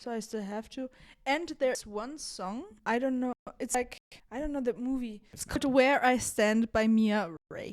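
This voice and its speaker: A woman talks at a moderate pace with a high pitch and ordinary variation in it. Her volume rises and falls sharply. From Italy. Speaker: dancer and dance teacher. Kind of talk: casual chat.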